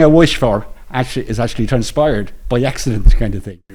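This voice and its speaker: A man speaks with an Irish accent at a fairly quick pace. His intonation is lively. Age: 60s. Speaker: retiree, men's shed member. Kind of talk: testimony. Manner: halting.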